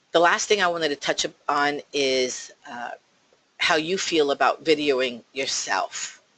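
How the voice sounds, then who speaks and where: With a strong New Jersey accent, a woman speaks at a fairly slow pace in a very deep, low pitch with ordinary pitch variation. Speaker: real estate agent. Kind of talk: talk to a team of agents. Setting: office, call with remote listeners.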